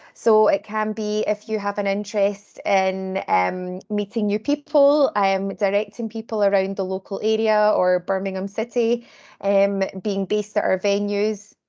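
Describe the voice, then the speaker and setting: A woman with a Glaswegian accent has a dark, mellow tone and fairly even intonation. She speaks at a moderate pace against a quiet background. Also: medium pitch for a woman. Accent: Glaswegian Scottish. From Scotland, Glasgow. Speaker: volunteer recruitment lead. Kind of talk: presentation at online community meeting. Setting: video call.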